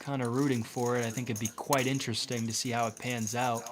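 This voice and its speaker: Against noticeable background noise, a man with an American accent talks at a fairly quick pace, with a medium pitch and fairly even intonation. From Massachusetts, New England. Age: 20s. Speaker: poker commentator. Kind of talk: live commentary. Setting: commentary booth.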